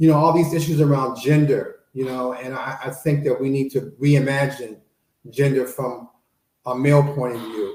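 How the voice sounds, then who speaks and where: In an American accent, a man speaks at a moderate pace with a dark, mellow tone, a medium pitch, a somewhat breathy quality and fairly even intonation. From Chicago, South Side. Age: 60s. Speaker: panelist. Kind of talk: panel discussion.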